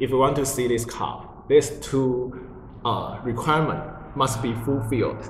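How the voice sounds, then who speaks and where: Medium in pitch and moderate in pace, a man speaks with fairly even intonation amid audible room echo and noticeable background noise. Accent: Chinese. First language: Mandarin Chinese. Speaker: religious group member explaining teachings. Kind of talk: casual spiritual conversation. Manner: halting, with many fillers.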